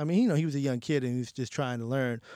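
The speaker has a New York accent. The recording is very clean, with a silent background. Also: man. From New York City, the Bronx. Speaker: music journalist and editor. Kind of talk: casual interview.

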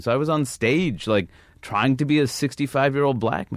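Lively intonation marks this man's medium-pitched voice with an American accent, moving at a fairly quick pace. A plain, everyday voice, recorded very cleanly against a silent background. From New York. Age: 30s. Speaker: stand-up comedian. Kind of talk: casual chat.

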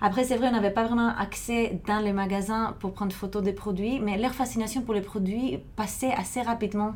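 A woman with a Greek accent speaks in a somewhat breathy, fairly high voice with fairly even intonation. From Greece, Thessaloniki. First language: Greek (speaking French). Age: 30s. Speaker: film programmer. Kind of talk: interview. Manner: halting.

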